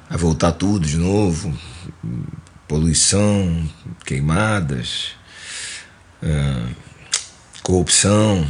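A man with a Carioca accent speaks at a very deep, low pitch. His pitch varies in an ordinary way, and noticeable background noise is present. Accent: carioca Brazilian Portuguese. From Rio de Janeiro, Mangueira. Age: 50s. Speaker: musician and composer. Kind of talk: casual interview.

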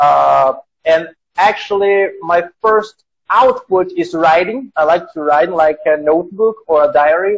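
Speech in a Portuguese accent comes at a fairly slow pace with ordinary pitch variation. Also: man, high pitch for a man. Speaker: podcast host and language teacher. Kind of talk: casual interview. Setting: Instagram live stream from his workplace.

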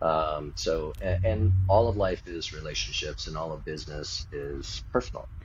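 With noticeable background noise, a man talks at a moderate pace and hardly any pauses. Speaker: men's relationship coach. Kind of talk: interview. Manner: calm.

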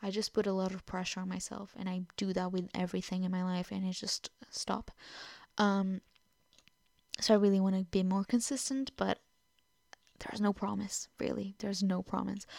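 A woman with a Portuguese accent speaks at a medium pitch and moderate pace in a monotone, flat intonation with long, frequent pauses, on a very clean recording with a silent background and a dry, close sound with no echo. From Portugal. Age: 20s. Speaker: podcaster. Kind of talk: casual monologue. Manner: halting.

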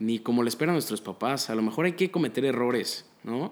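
A man with an unremarkable speaking voice talks at a moderate pace with lively intonation. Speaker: psychology student. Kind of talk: casual chat.

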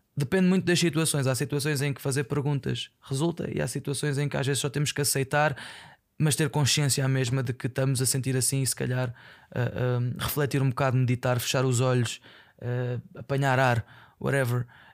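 In a very clean recording with a silent background, a man talks at a fairly quick pace with medium pitch and fairly even intonation. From Portugal, Aveiro. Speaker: podcaster. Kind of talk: casual monologue. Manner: halting.

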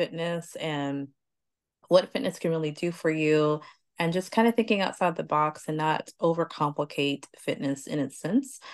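A woman with an unremarkable speaking voice talks at a fairly slow pace and fairly low pitch over a quiet background. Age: middle-aged. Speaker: podcast host. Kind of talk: casual chat.

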